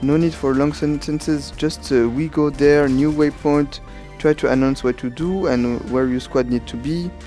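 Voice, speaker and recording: A man at a fairly high pitch and moderate pace, with music in the background. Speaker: gaming commentator, squad leader. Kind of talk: gameplay tutorial commentary.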